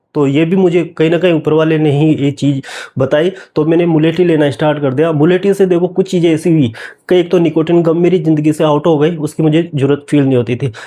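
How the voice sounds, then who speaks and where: Fairly high pitch from a man, with a dark, mellow tone, moderate pace, very even loudness and fairly even intonation. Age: 40s. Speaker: vlogger sharing personal story. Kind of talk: personal testimony. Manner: casual, filler-heavy with self-corrections.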